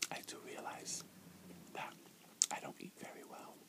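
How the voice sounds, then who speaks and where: Someone whispers in a soft-spoken way at a moderate pace. Noticeable background noise can be heard. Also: man. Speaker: ASMR eating vlogger. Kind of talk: casual vlog chat. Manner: soft ASMR whisper, still chewing. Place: home room. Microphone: earbuds.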